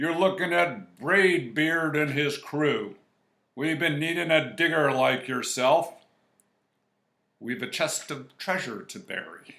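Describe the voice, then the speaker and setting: Loud and at a fairly slow pace, a man puts on a character voice with a fairly high pitch. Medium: read story. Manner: loud, blustering.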